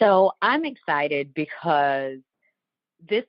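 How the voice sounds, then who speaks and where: A woman's very deep, low-pitched voice with an American accent. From Southern Ohio Appalachia. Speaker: podcast host and life coach. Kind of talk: casual podcast conversation. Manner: some ums and likes.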